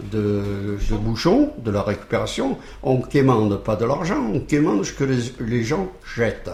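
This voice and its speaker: Over noticeable background noise and audible room echo, a man of medium pitch talks at a very slow pace with ordinary pitch variation. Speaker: charity volunteer. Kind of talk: radio interview. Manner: hesitant, many repeated words and fillers.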